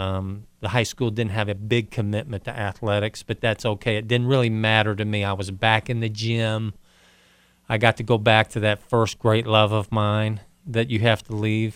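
Monotone, flat intonation at a moderate pace. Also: man, fairly low pitch for a man. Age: 50s. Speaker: former college and pro basketball player. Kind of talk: interview. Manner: halting.

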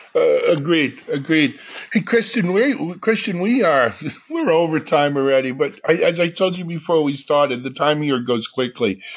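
Against noticeable background noise, a man speaks at a moderate pace with a fairly high pitch and lively intonation. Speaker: podcast host. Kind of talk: interview chat.

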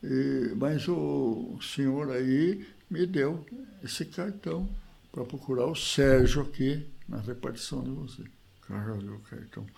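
A man of medium pitch speaks fairly slowly with lively intonation and big swings in loudness. Audible echo fills the room. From Brazil, Piracicaba (São Paulo interior). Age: 80s+. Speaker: retired agronomist, former basketball player. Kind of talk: interview, reminiscing.

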